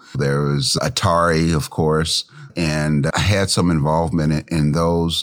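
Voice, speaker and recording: A man with an American accent speaks at a very slow pace in a very deep, low voice, his intonation fairly even and his loudness very even, with noticeable background noise. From US Midwest, Cincinnati, Ohio. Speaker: esports entrepreneur. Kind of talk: interview.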